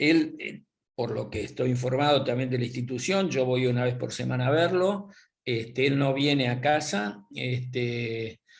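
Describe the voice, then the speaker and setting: In a somewhat breathy, medium-pitched voice, a man speaks at a fairly slow pace with ordinary pitch variation. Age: 70s. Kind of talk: interview. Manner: halting.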